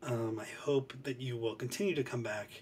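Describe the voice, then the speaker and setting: Speaking at a moderate pace over noticeable background noise, a man with an American accent uses a medium pitch with ordinary variation. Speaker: book reviewer. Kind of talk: casual chat. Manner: soft-spoken; hesitant, many fillers.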